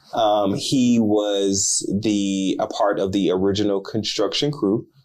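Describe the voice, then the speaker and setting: A man speaks with an American accent. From Houston, Texas. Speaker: real estate podcast co-host. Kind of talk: casual chat.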